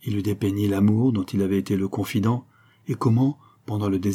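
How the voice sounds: A natural reading voice, its intonation fairly even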